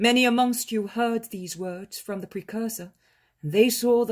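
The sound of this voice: Someone reads in an unforced reading voice. There is a quiet background.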